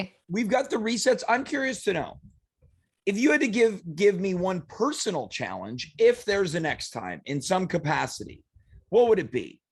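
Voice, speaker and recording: A man speaks at a high pitch and a moderate pace. His pitch swings are very wide. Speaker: co-host of live stream show. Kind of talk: casual live stream talk.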